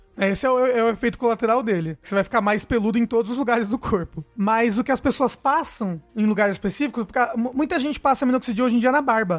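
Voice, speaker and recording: The speaker goes at a very fast pace with hardly any pauses, ordinary pitch variation and very even loudness. Music plays in the background. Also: man, extremely high pitch for a man. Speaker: podcast host. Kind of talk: casual chat.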